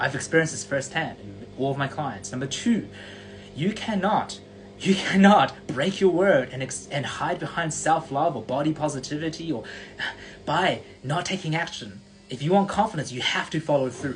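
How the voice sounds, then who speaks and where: Noticeable background noise sits behind speech with lively intonation. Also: man, fairly high pitch for a man. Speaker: confidence coach. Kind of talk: live stream motivational talk. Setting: live stream. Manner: fast; animated.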